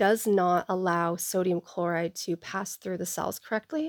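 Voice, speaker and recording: The voice, with an American accent, moves at a moderate pace. The recording is very clean with a silent background, the sound dry and close with no echo. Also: woman. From US Pacific Northwest, Seattle east side. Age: 20s. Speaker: podcast host. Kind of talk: faith-based personal testimony monologue. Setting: home recording, non-professional microphone.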